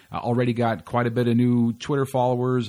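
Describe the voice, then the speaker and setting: With an American accent, a man with a plain, everyday voice and medium pitch talks at a fairly quick pace. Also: very clean recording, silent background. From California. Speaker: comedy podcast host. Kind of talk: podcast monologue intro; casual interview chat.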